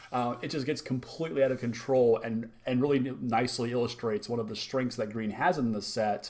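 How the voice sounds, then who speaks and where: A man speaks at a medium pitch with ordinary pitch variation. He has a normal speaking voice. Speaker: card game reviewer. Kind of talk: video review. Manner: excited.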